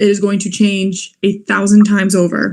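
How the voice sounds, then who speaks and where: A somewhat breathy woman's voice, medium in pitch, with an American accent. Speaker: law graduate, moot court competitor. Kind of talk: online webinar talk. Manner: fast.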